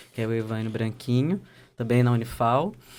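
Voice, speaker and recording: With a slight Pernambuco accent, a man speaks at a medium pitch in a dark, mellow tone with fairly even intonation. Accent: slight northeastern Brazilian (Pernambuco). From Brazil, Pernambuco (sertão, Custódia). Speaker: geographer and doctoral researcher. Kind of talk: podcast interview.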